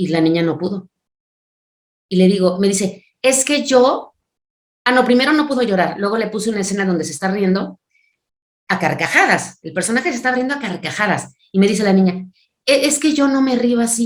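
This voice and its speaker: A woman speaks at a fairly quick pace with lively intonation and a medium pitch, leaving long, frequent pauses. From Mexico City. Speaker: voice actress and dubbing director. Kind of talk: interview. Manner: animated.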